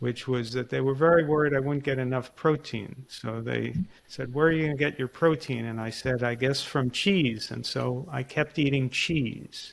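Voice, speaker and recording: A man speaks at a moderate pace and a medium pitch with hardly any pauses. He has a plain, everyday voice, with fairly even intonation. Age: 60s. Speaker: podcast host and author. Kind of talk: casual chat.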